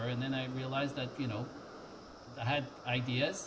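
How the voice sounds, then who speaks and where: Medium pitch and a moderate pace from a man, in audible room echo. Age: 50s. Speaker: tech entrepreneur. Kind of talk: interview. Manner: halting, many fillers.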